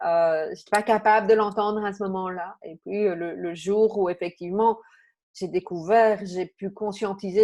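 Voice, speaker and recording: Against a quiet background, a woman with a dark, mellow tone speaks at medium pitch and a moderate pace, her intonation fairly even. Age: 50s. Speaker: coach and therapist. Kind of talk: interview conversation. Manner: hesitant, many fillers.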